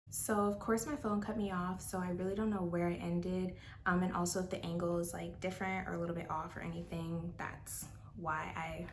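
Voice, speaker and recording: Background noise is clearly present while a woman speaks fairly quickly. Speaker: booktuber. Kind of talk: casual talk to camera. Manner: whispered.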